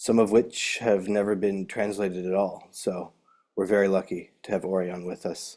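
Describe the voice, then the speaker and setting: Dark and mellow in tone, a man's voice sits at a fairly low pitch. He speaks at a moderate pace. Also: very clean recording, silent background. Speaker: webcast host. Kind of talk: webcast introduction.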